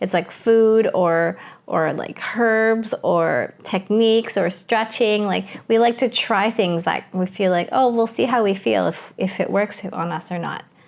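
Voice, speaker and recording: A woman with a Canadian accent in a normal speaking voice, medium pitch, ordinary pitch variation, fairly slow pace, quiet background. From Vancouver, Canada (Hong Kong-born). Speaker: podcast co-host. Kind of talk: casual chat.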